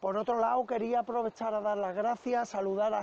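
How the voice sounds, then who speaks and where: With light background noise and a dry sound that has no echo, a man speaks at a high pitch with fairly even intonation. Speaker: fishing channel host. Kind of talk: casual vlog chat. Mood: grateful, earnest. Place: waterside. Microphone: phone near.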